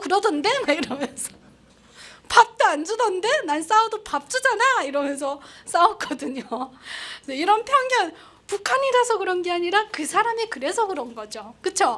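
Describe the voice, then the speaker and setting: Her extremely high pitch swings very widely as this woman talks at a moderate pace in a bright, sharp tone. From North Korea, Pyongyang. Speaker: North Korean defector broadcaster. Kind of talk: public lecture.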